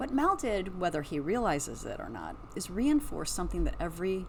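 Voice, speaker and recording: Moderate pace from a woman, plus audible room echo. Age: 60s. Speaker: psychic podcaster. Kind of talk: casual commentary monologue. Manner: animated.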